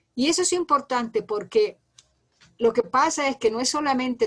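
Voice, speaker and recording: Speaking at a fairly quick pace, a woman uses lively intonation at a fairly high pitch. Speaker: lecturer. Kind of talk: lecture. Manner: fast.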